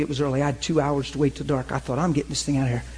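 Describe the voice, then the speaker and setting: An animated man talks in a somewhat breathy voice. The background is quiet. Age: 40s. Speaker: pastor teaching a class. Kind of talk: sermon-style teaching with group discussion.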